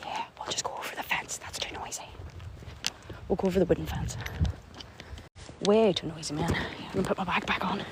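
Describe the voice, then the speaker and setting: The voice whispers at a fairly quick pace with long, frequent pauses, amid noticeable background noise. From Northern Ireland, County Antrim. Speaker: livestreamer exploring graveyards. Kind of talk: live stream casual chat. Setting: outdoors at night in a graveyard. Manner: animated.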